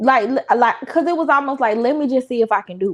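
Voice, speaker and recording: A woman speaks with lively intonation in a strong Southern US accent. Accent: Southern drawl, strong country. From US South. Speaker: content creator. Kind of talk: casual chat.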